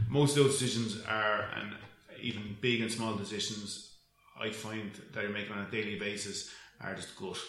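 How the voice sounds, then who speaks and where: With a Dublin accent, a man speaks in a fairly low, flat monotone broken by long, frequent pauses, amid noticeable background noise and audible room echo. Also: moderate pace. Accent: Irish (Dublin). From Ireland, north County Dublin. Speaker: event management company co-owner. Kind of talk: casual interview.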